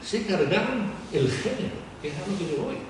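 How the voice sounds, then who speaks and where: A man's high-pitched, lively voice at a fairly slow pace, with audible room echo and noticeable background noise. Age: 70s. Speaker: flamenco lecturer. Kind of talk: lecture. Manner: animated.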